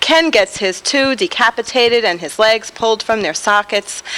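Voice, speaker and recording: A woman with a New York accent. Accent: New York (Bronx). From New York, the Bronx. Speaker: poet. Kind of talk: poetry reading. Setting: taped TV show at a bar venue.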